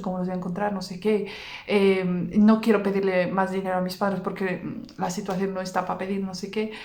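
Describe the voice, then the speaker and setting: Here a woman speaks at a medium pitch. Noticeable background noise and audible room echo surround her voice. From Basque Country, Vitoria. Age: 30s. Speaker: religious content creator. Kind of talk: personal testimony. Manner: fast.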